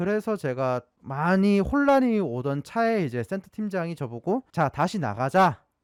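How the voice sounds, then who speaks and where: Dry and close with no echo, a man speaks in a Gyeongsang accent with very wide pitch swings. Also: very clean recording, silent background. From South Korea, Gyeongsang region. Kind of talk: casual storytelling to camera.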